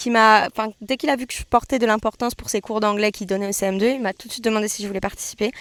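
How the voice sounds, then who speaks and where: Fairly high-pitched, a woman speaks at a very fast pace with fairly even intonation. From France. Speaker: vlogger. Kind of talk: casual Q&A monologue. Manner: hesitant, with false starts.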